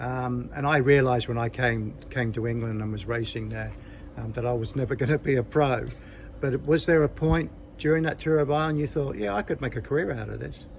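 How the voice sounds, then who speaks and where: The speaker talks at a fairly quick pace with an Australian accent. Pitch varies in an ordinary way, and the voice is somewhat breathy. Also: man, medium pitch for a man. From Australia, Nowra, New South Wales. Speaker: cycling interviewer, former amateur racer. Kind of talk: casual interview.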